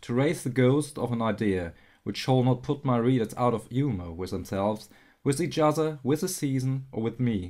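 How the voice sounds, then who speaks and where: A speaker with a non-native accent talks at a moderate pace in a very clean recording with a silent background. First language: not English. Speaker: audiobook narrator. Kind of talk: audiobook reading.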